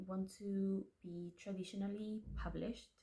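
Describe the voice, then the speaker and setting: This woman has a Spanish accent and a medium pitch. Her voice is somewhat breathy, and her pace is fairly slow. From Spanish-speaking household. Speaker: aspiring fantasy author, vlogger. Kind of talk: casual vlog talk to camera. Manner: chatty, self-interrupting, repeats words.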